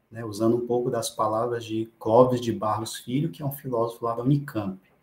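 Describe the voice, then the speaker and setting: Somewhat breathy, a man speaks at a fairly quick pace and medium pitch with fairly even intonation. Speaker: medical professor. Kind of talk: lecture. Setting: online class. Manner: halting.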